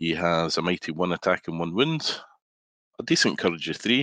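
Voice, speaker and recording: A man's very deep, low voice with a bright, sharp tone, moderate pace, ordinary pitch variation, and a dry, close sound with no echo. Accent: Scottish. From Scotland. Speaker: guest gamer. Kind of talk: casual chat.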